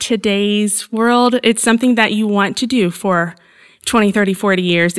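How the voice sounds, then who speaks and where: A woman's fairly high voice with an American accent, an ordinary speaking voice at a fairly slow pace. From Southern Indiana, near Evansville. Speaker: nonprofit wellness coordinator. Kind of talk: interview.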